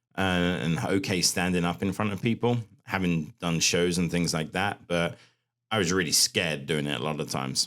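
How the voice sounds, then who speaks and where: A man talks at a fairly quick pace. His voice is very deep and low, with vocal fry. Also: ordinary pitch variation. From England, north London. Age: 40s. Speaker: fitness coach. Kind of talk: podcast interview.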